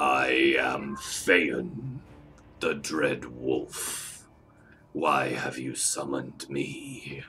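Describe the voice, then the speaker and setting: A man uses a put-on character voice, growling at a very deep, low pitch. It is gravelly and raspy, delivered at a very slow pace. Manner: menacing, ominous.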